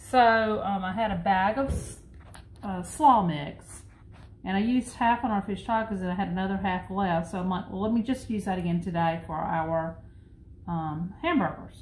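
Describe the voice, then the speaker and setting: A somewhat breathy woman speaks at a moderate pace with ordinary pitch variation. Audible room echo and light background noise are present. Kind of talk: cooking tutorial chat. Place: kitchen. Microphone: phone near.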